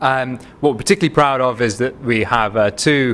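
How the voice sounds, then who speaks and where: A man with a Manchester accent, very fast pace and ordinary pitch variation. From northern England, Manchester. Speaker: biotech company CEO and physician. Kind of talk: investor pitch presentation.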